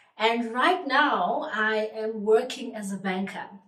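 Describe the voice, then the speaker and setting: A woman with a fairly high pitch speaks at a fairly slow pace with ordinary pitch variation, amid noticeable background noise and audible room echo. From South Africa, Eastern Cape. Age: 30s. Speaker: vlogger. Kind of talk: casual vlog introduction.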